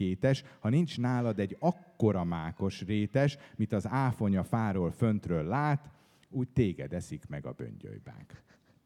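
In a very clean recording with a silent background, a man with a fairly low pitch speaks at a fairly slow pace, with hardly any pauses and very wide pitch swings. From Hungary, Budapest. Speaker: poet. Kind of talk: book presentation talk; reading aloud. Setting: stage with audience.

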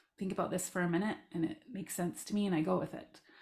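A woman's vocal-fried voice with ordinary pitch variation, in a Canadian accent. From Southern Alberta, Canada. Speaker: life coach and parent of transgender child. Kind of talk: casual interview, personal story.

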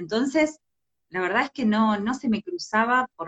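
A woman is speaking. She has a Rioplatense accent. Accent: Argentine Spanish (rioplatense). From Argentina, Entre Ríos. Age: 40s. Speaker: LGBT rights activist. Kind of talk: livestream interview.

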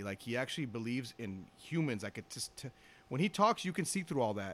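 A man's medium-pitched voice with a Los Angeles accent and very wide pitch swings. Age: 50s. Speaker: retired police officer. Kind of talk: casual chat.

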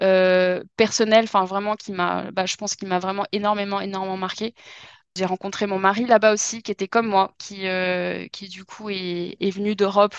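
A woman speaks at a moderate pace with medium pitch and flat, monotone intonation, her loudness swinging widely, in a dry, close recording with no echo and a quiet background. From southwest France, Dordogne. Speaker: French teacher. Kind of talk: casual chat. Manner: hesitant, many fillers.

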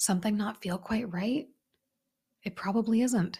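Somewhat breathy, a woman speaks in an animated tone at medium pitch with ordinary pitch variation. The recording is very clean, with a silent background. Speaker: self-mastery coach and podcast host. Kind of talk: solo podcast monologue.

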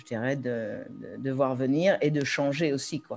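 A woman with a very deep, low voice, ordinary pitch variation and a fairly slow pace. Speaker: expat parent, participant. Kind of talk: live webinar Q&A.

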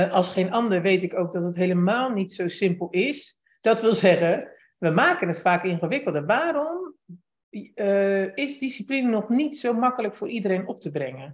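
A fairly slow pace from a woman with a medium pitch and very wide swings in pitch. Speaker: podcast host interviewer. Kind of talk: casual interview chat. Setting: live video call with chat.

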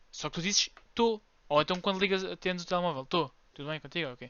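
A man talks very fast at a high pitch, with ordinary pitch variation. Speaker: podcast co-host. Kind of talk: casual chat. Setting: room with window open.

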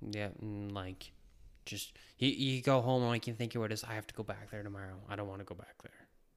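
A man with an Atlantic Canadian accent, fairly low in pitch, at a very fast pace, with big swings in loudness and fairly even intonation. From New Brunswick, Canada. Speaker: former cook. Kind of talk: casual interview. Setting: at the host's house.

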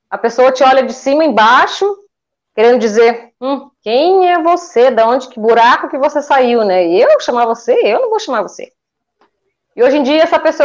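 This woman's high voice moves with lively intonation at a moderate speed. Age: 40s. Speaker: eyebrow designer, small business owner. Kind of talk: interview on a livestream.

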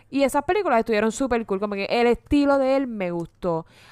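A woman with an animated tone, a fairly high pitch and a fairly quick pace. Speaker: podcast co-host. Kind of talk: casual chat.

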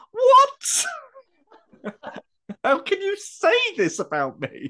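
A squeaky, put-on character voice at an extremely high pitch and a very slow pace. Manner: indignant, nearly squeaking.

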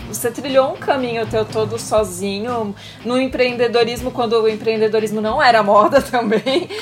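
A woman speaks at a high pitch. Noticeable background noise accompanies her. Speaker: podcast co-host. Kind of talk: casual interview chat.

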